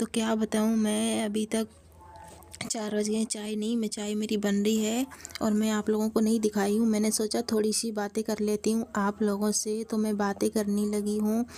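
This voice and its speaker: A woman speaks at a fairly slow pace in a fairly high, flat monotone, with noticeable background noise. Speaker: vlogger. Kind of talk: casual vlog talk to camera. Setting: small room at home, early morning.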